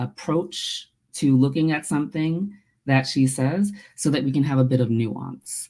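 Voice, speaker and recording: This woman has a very deep, low pitch and an American accent, and her pitch varies in an ordinary way. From United States, Nigerian-American household. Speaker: theologian and author. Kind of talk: webinar interview.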